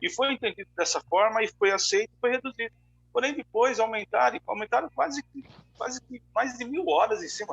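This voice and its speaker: A man speaks at an extremely high pitch with lively intonation. His pace is fairly quick. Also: big swings in loudness. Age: 60s. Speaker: pastor. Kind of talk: casual chat. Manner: halting.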